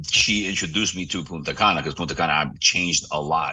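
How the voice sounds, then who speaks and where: A man speaks with a New York accent. His pitch is very deep and low, with a bright, sharp tone. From New York City. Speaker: real estate broker. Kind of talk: interview. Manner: fast; animated.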